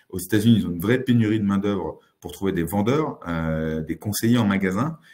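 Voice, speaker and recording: The tone is dark and mellow, with lively intonation. The pace is fairly quick. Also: man, fairly low pitch for a man. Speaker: tech consultant, company founder. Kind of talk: presentation webinar. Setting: office, recorded webinar. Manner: hesitant, many filler sounds.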